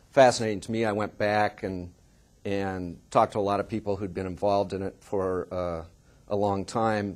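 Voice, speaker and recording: The speech moves at a moderate pace. It comes with a Californian accent. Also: man. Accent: General American (Californian). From US West Coast, Oakland, California. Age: 50s. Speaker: journalist and author. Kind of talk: seminar talk. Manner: halting, with many repetitions and fillers.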